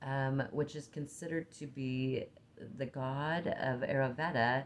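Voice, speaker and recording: With an Oregon accent, a woman speaks at a fairly slow pace in a very deep, low pitch. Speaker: spiritual teacher and card reader. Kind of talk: casual chat. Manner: halting.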